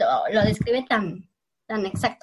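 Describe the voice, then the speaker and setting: A woman speaks with a Mexican accent. Her tone is bright and sharp. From Mexico. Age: 20s. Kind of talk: casual chat.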